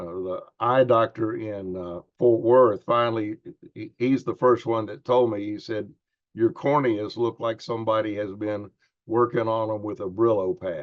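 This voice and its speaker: There are big swings in loudness as a man talks at a moderate pace. His pitch variation is ordinary. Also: medium pitch for a man. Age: 60s. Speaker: preacher and patient. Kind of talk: testimony. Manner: halting, with many fillers.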